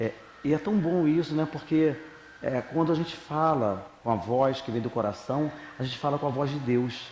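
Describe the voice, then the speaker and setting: A man at a moderate pace, ordinary pitch variation, noticeable background noise behind him. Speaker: spiritist lecturer. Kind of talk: religious talk. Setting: spiritist center with audience. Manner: informal, conversational.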